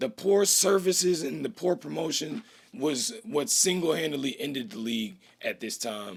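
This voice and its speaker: At a moderate pace, a man with a fairly high pitch and vocal fry talks with very wide pitch swings. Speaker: educational video host. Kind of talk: casual history explainer. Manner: casual slangy.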